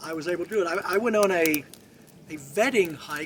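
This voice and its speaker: A high-pitched man speaks fairly quickly while noticeable background noise carries on. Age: 70s. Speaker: military veteran hiker. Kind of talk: casual interview. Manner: halting, with many repeated words.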